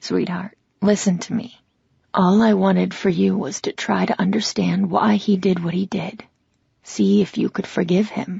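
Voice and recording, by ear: A woman speaks fairly slowly in a put-on character voice, husky with a rough edge and vocal fry, her pitch barely moving. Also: medium pitch for a woman, slightly mellow tone.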